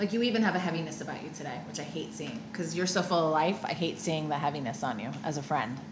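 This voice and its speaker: Over noticeable background noise, a woman with a very deep, low pitch talks very fast with lively intonation and hardly any pauses. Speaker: life coach and recovery coach, podcast co-host. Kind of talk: casual podcast conversation. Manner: excited, upbeat.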